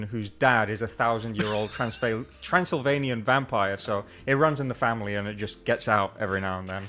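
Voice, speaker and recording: Music plays behind a man talking at a fairly quick pace. His intonation is lively. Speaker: game developer. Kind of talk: interview. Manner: low energy.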